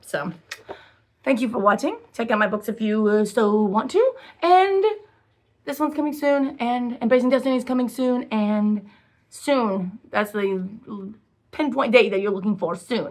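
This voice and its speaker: A woman speaks at a fairly high pitch with lively intonation. She leaves long, frequent pauses. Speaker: self-published author. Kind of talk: casual vlog chat. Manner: fast; halting, many fillers.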